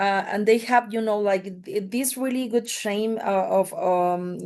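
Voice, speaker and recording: A woman at a medium pitch, with a Spanish accent. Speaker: mining industry representative. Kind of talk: panel podcast discussion. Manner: halting, many fillers.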